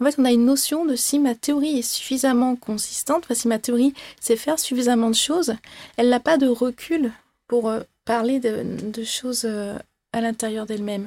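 A woman speaks at a moderate pace in a high pitch with a dark, mellow tone. Her intonation stays fairly even, and the sound is dry and close with no echo. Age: 20s. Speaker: mathematician. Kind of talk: interview.

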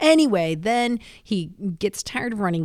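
Using an ordinary speaking voice, a woman keeps a moderate pace and lively intonation. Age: middle-aged. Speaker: comedian. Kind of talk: casual chat.

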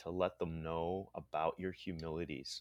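Recorded against a quiet background, a man's voice comes across dry and close with no echo. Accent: Pennsylvania. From central Pennsylvania (State College), immigrated from the Philippines as a child. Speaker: illustrator and comic artist. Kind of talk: interview. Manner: halting, with repeated words and fillers.

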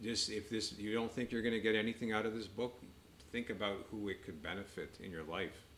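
Her opposite in pitch, a man with a Canadian accent talks at a fairly quick pace with a fairly low pitch and fairly even intonation. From Canada, east of Toronto. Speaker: doctor and author. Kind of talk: casual chat. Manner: halting.

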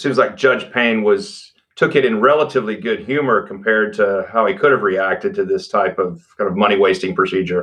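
Speaking at a fairly quick pace, a man with a Texan accent uses lively intonation. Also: medium pitch for a man, hardly any pauses. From Texas Panhandle. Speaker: podcast host, law center director. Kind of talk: interview.

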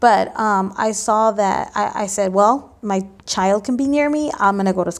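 A woman talks at a moderate pace with hardly any pauses. Her pitch is medium with ordinary variation. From Los Angeles, Mexican-American family. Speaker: parent educator. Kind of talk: interview. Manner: halting, many filler ums.

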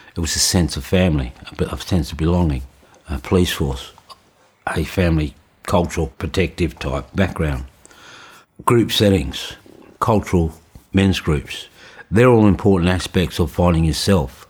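Very deep and low with vocal fry, a man speaks at a moderate pace with ordinary pitch variation and long, frequent pauses. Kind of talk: interview testimony. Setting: healing house in rural community. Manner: halting.

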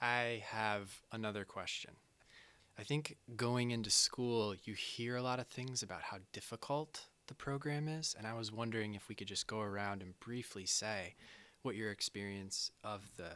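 A man speaks at a moderate pace with a fairly low pitch. His tone is bright and sharp, on a very clean recording with a silent background. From upstate New York. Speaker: podcast host and Chinese medicine student. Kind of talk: casual panel discussion.

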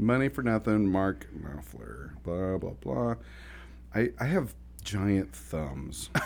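A man speaks at a very slow pace with vocal fry. His very deep, low pitch swings very widely. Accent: American. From Oklahoma. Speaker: podcast host, business coach. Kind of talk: casual conversational podcast chat.

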